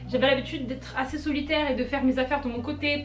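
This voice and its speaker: Against noticeable background noise and audible room echo, a woman talks at a high pitch with ordinary pitch variation. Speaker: YouTuber and writer. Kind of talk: casual Q&A vlog. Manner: halting, repeats words.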